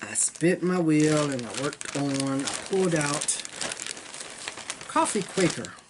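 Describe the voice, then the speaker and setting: Very deep, low female pitch at a fairly slow pace, ordinary pitch variation, and noticeable background noise. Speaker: cross stitch video maker. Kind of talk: casual show-and-tell chat. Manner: halting, repeats words.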